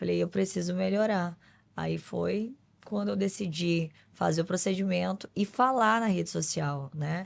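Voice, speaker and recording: A woman's fairly slow speech on a very clean recording with a silent background. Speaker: beauty pageant winner and influencer. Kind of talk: podcast interview.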